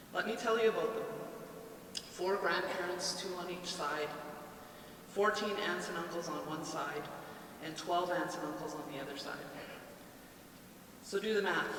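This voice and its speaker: A woman with a Canadian accent speaks at a moderate pace and fairly low pitch, leaving long, frequent pauses. Audible room echo and noticeable background noise fill the recording. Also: ordinary pitch variation. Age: 50s. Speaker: community organization worker. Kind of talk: public speech. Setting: outdoor public event.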